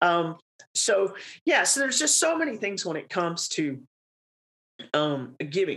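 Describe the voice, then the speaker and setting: A raspy woman's voice at a fairly slow pace, with very wide pitch swings and long, frequent pauses. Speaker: podcast host. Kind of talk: casual chat.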